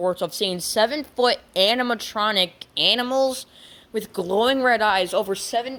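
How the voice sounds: The reading voice sounds natural. Its pitch shifts in an ordinary way.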